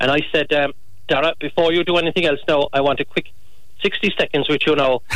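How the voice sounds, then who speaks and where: A man's fairly high voice with a Kerry accent, very fast pace and fairly even intonation. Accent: Kerry Irish. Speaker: former sports commentator. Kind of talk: interview. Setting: phone call.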